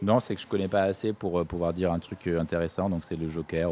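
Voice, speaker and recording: A dark, mellow tone at a fairly quick pace, with monotone, flat intonation. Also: man. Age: 30s. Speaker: musician. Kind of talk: casual chat.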